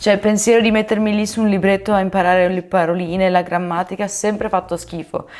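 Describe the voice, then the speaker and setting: Her pitch stays at a medium level. This woman speaks at a very fast pace. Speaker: language-learning YouTuber. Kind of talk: casual vlog explainer. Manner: animated.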